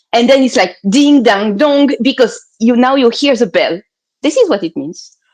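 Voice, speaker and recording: The speaker talks with a French accent and lively intonation. The pace is moderate. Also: woman, high pitch for a woman. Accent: French accent, noticeable. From France. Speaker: healer. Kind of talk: interview.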